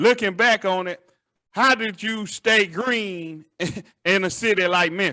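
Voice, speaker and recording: A man with an American accent speaks in a raised, projected voice with a high pitch and a bright, sharp tone. His pace is fairly slow, his pitch variation ordinary, and the background quiet. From Chattanooga, Tennessee. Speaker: podcast host. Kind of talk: interview.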